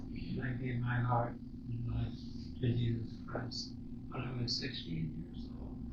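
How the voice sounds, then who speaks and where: There is noticeable background noise. Against it, a man speaks at a fairly slow pace and medium pitch. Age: 80s+. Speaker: former missionary. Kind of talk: interview answer. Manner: humorous, reminiscing.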